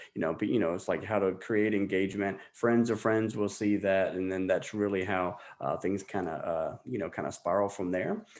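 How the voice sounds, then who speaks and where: A man with a fairly low pitch speaks with fairly even intonation and hardly any pauses. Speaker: college alumni fundraising staff. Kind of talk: online training session. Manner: fast; rambling, filler-heavy.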